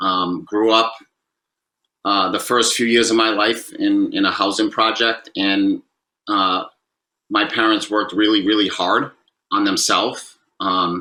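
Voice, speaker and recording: With a Massachusetts accent, a man speaks in a fairly low pitch and a bright, sharp tone, his intonation monotone and flat. His loudness stays very even, and he talks at a fairly slow pace with long, frequent pauses. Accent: Massachusetts accent, noticeable. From Massachusetts, Fall River. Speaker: former pro basketball player, recovery speaker. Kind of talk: interview. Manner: halting, many fillers.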